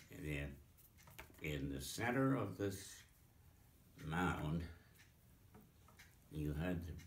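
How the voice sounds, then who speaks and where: Very slow and marked by long, frequent pauses, a man with an American accent speaks in a very deep, low pitch with lively intonation. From Pennsylvania. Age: 80s+. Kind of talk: interview answer. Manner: hesitant, slow.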